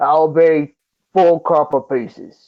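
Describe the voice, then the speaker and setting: A man puts on a gruff character voice. His pitch sits fairly high for a man. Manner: gruff, grunting.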